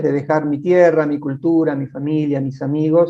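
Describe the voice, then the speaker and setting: Speaking at a moderate pace, a man with a fairly high pitch and a dark, mellow tone keeps his intonation fairly even. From Argentina, Patagonia. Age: 60s. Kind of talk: interview. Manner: halting.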